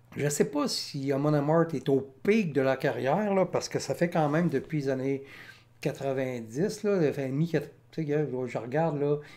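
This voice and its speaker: Speaking in a Quebec accent, a man has a dark, mellow tone, a fairly high pitch, ordinary pitch variation and a moderate pace. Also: very clean recording, silent background. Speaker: music reaction youtuber. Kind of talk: casual commentary. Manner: hesitant, many fillers.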